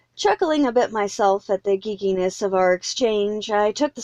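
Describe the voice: The clip is plain reading aloud.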